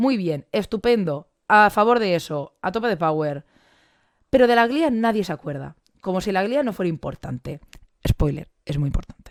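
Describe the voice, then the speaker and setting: A woman with a medium pitch makes very wide pitch swings in a dry, close sound with no echo. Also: very clean recording, silent background. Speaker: biology teacher and science communicator. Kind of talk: conference talk. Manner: fast.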